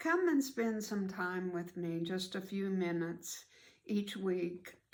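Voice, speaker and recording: A woman speaks very slowly in a warm tone, her pitch medium and its variation ordinary. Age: 80s+. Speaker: storytelling grandmother. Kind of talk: casual talk to camera. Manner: warm, friendly.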